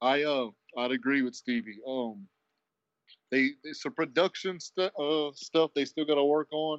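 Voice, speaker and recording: A man has a plain, everyday voice with a fairly high pitch. He speaks at a fairly slow pace with lively intonation. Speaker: wrestling podcast co-host. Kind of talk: casual chat.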